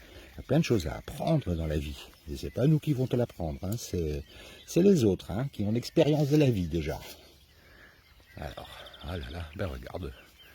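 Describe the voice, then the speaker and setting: Over noticeable background noise, a man with a very deep, low pitch speaks at a moderate pace, swinging very widely in pitch and leaving long, frequent pauses. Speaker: animal sanctuary caretaker. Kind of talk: casual farm tour to camera.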